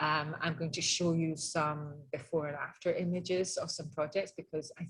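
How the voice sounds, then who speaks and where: This woman has a very deep, low voice that is somewhat breathy, in a Scottish accent. She keeps a moderate pace and a monotone, flat intonation. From Scotland, Edinburgh. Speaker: interior designer. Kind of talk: webinar presentation. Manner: many filler ums.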